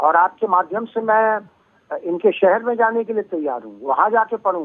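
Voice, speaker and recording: At a fairly slow pace, a man with a high pitch speaks with ordinary pitch variation and big swings in loudness. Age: 70s. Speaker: poet and lyricist. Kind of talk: phone interview. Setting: phone call.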